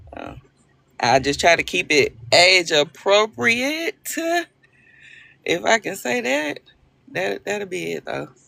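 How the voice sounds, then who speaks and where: A woman with a Southern US accent speaks in a bright, sharp, animated tone with vocal fry. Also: very clean recording, silent background. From Arkansas. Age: 40s. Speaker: livestream host. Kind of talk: casual chat.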